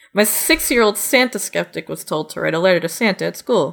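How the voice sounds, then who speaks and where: Talking at a very fast pace, a woman uses a bright, sharp tone at medium pitch, with lively intonation and vocal fry. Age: 20s. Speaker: comedy news podcast co-host. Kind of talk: casual chat.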